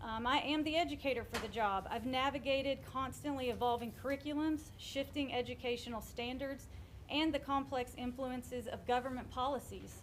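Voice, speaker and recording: A woman speaks loudly at a fairly quick pace in a high voice, her intonation fairly even, with noticeable background noise behind her. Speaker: school board candidate. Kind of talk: campaign speech.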